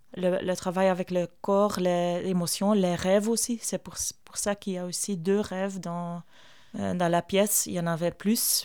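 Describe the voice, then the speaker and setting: Over a silent background in a very clean recording, a woman with a Flemish accent speaks fairly slowly at medium pitch in a flat, monotone way. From Flanders, Belgium. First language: Flemish dialect / Dutch (speaking French). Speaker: theatre artist and performer. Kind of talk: interview. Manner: halting.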